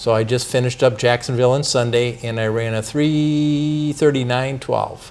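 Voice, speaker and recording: Noticeable background noise accompanies a man speaking with hardly any pauses. His intonation is fairly even. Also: medium pitch for a man, moderate pace. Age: 60s. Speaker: city council member. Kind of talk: interview.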